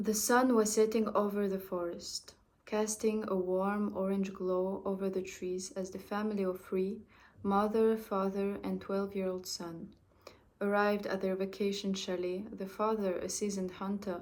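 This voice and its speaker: Speaking at a moderate pace, a woman with a medium pitch keeps a monotone, flat intonation, and audible room echo surrounds her voice. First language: French. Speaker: amateur storyteller. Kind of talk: reading aloud. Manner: halting, with restarts.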